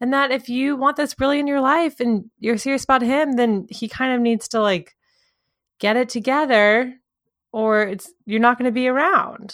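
A woman's high voice at a moderate pace, with ordinary pitch variation, in a very clean recording with a silent background. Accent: American. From US South. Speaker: podcast co-host. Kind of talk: casual chat.

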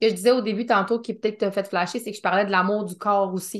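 A woman speaks in a monotone with flat intonation. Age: 30s. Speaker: podcast host. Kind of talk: casual interview chat.

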